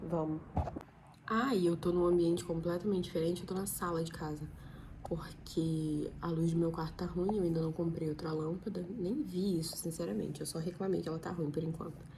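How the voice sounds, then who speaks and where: Audible room echo surrounds a woman with a fairly low pitch. She talks at a moderate pace with fairly even intonation. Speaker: vlogger, law student. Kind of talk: casual vlog chat. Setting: living room at home, at night.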